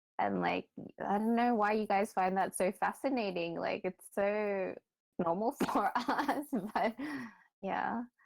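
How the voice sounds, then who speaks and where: A woman speaks with an Australian accent, medium pitch and vocal fry. Her ordinary pitch variation comes through a dry, close sound with no echo. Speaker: podcast guest. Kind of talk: casual chat. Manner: halting, filler-heavy.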